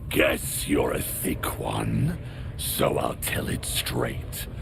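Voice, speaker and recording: Loud background noise beneath a man's put-on character voice, fairly slow in pace. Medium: machinima. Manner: gruff, blunt.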